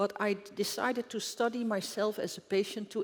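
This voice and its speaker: Speaking at a moderate pace, a woman has a Dutch accent. Her fairly high pitch shows ordinary variation. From Netherlands. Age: 70s. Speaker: doctor and health researcher. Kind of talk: conference talk. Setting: stage with audience.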